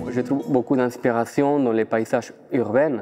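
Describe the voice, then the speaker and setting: A man's dark, mellow tone with an Argentine accent, a fairly slow pace and fairly even intonation. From Argentina, Buenos Aires. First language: Spanish (speaking French). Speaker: dancer and choreographer. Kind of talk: interview. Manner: halting.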